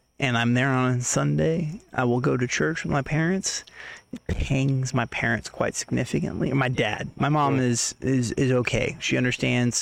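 A man with an American accent uses a normal speaking voice at medium pitch with ordinary pitch variation. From Oklahoma, Tulsa. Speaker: podcast guest. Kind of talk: casual chat.

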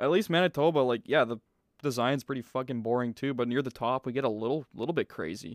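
On a very clean recording with a silent background and a dry, close sound with no echo, a man with a Canadian accent speaks at a very fast pace with ordinary pitch variation. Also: medium pitch for a man. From British Columbia, Canada. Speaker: podcast host. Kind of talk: casual chat.

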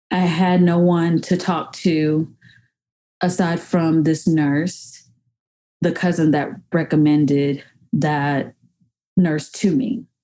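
A woman with an American accent speaks very slowly, leaving long, frequent pauses, in a fairly low pitch with ordinary variation. Her tone is dark and mellow, and her loudness stays very even. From US South, rural Georgia north of Atlanta. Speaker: reproductive justice advocate and consultant. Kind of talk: personal testimony narration.

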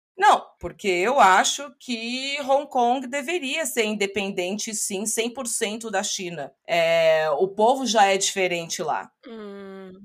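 With hardly any pauses, a woman speaks at a very slow pace in a fairly high pitch, her intonation lively and her loudness swinging widely. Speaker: English teacher and podcaster. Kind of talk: interview.

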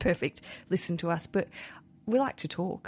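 With an Australian accent, a woman speaks in an animated, somewhat breathy way. The recording is very clean, with a silent background. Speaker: podcast host. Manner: chatty, animated.

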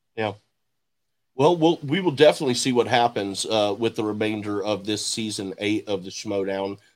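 With a slight Southern accent, a man talks at a moderate pace with ordinary pitch variation in a very clean recording with a silent background. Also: fairly low pitch for a man. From Houston, Texas. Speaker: podcast host. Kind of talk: interview.

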